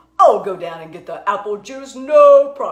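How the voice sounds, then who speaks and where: Someone puts on a high-pitched character voice at a moderate pace. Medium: read story.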